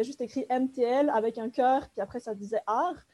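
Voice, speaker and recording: In a very clean recording with a silent background, a woman speaks at a high pitch with fairly even intonation and a dark, mellow tone. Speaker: master's student in art history. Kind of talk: academic podcast discussion.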